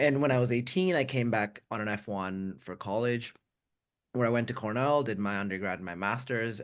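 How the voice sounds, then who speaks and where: Against a quiet background, the voice carries an American accent and ordinary pitch variation. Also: man. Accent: American-sounding from US elementary school. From India, partly raised in US Bay Area. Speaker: tech worker and writer. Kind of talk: webinar interview.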